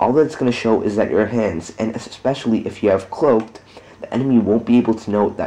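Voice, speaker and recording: A man talks quietly at a fairly quick pace, his pitch medium, with noticeable background noise. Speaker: gamer. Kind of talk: gameplay tutorial commentary. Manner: quiet, monotone.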